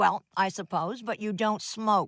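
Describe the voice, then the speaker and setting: A cartoonish character voice, female-sounding, at a medium pitch and a fairly slow pace. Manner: dry, matter-of-fact.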